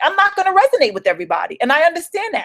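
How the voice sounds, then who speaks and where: Talking at a very fast pace with an animated tone, a woman speaks in a New York accent, and the sound is dry and close with no echo. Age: 40s. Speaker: home business coach. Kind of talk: motivational livestream talk. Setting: solo live video stream.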